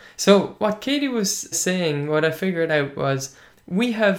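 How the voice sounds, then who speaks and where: In an Irish accent, a man speaks at a fairly slow pace with ordinary pitch variation. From Ireland (Munster). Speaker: language teaching podcast host. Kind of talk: casual podcast monologue.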